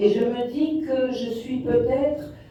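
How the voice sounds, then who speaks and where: Over noticeable background noise and audible room echo, a woman speaks at a very slow pace. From Morocco. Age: 60s. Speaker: documentary filmmaker. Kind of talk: interview answer. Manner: hesitant, many fillers.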